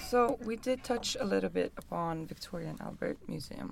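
A woman with a Swedish accent speaks at a moderate pace. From Stockholm, Sweden. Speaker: podcast host, urban planner. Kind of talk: interview. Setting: small studio room.

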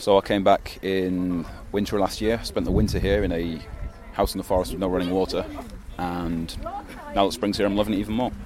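A man with a Mancunian accent, very deep and low in pitch, at a fairly quick pace with long, frequent pauses and fairly even intonation, over noticeable background noise. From Manchester, England. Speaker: expat homesteader. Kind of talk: interview.

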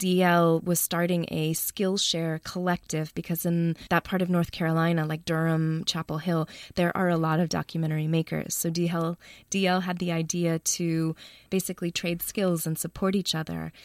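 A woman with an American accent speaks in an unremarkable speaking voice, fairly low in pitch and at a moderate pace. The recording is very clean with a silent background, dry and close with no echo. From US Midwest, Chicago. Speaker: documentary filmmaker. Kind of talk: interview.

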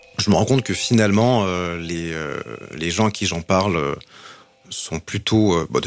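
A man speaks in a very deep, low voice at a moderate pace. His pitch varies in an ordinary way. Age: 40s. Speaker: marketing executive and LGBT network co-founder. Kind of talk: testimony. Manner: hesitant, many fillers.

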